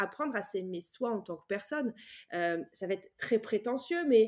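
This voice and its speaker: The background is silent and the recording very clean. A woman does the talking. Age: 30s. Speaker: bank employee on sabbatical, image consultant. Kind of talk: casual chat. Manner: hesitant.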